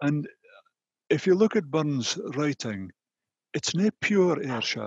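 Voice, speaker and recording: In a northeast Scottish accent, a man speaks at a fairly slow pace with lively intonation, the sound dry with no echo and the background quiet. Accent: Doric Scots. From North-East Scotland. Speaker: panelist. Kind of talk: conversation. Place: home room. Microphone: headset.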